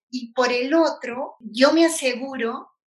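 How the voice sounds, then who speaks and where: With ordinary pitch variation, a woman speaks in a high voice. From Peru, Ilo (southern coast). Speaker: university lecturer and systems engineer. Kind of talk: interview. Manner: hesitant, many fillers and repetitions.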